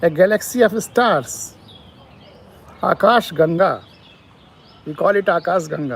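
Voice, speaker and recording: A man with a high pitch speaks at a fairly slow pace, with long, frequent pauses. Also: ordinary pitch variation. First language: Hindi. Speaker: poet. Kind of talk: poetry talk and reading. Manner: halting.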